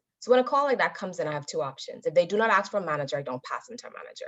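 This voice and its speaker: With very wide pitch swings, a woman speaks at a very fast pace. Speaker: motivational speaker. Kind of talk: speech to an audience.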